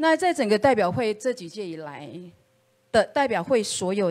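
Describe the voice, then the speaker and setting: A woman at a fairly slow pace. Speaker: political candidate; candidate. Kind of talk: campaign speech. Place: meeting room.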